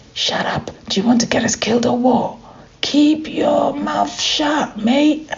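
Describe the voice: In a put-on character voice with a London accent, a female-sounding speaker uses a high pitch and a fairly slow pace.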